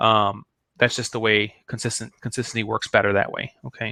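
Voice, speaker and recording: In a very clean recording with a silent background and a dry, close sound with no echo, a man speaks fairly quickly in a bright, sharp, excited tone. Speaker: online marketing coach. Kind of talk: live-stream tutorial. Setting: live video stream. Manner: fast; excited, many fillers.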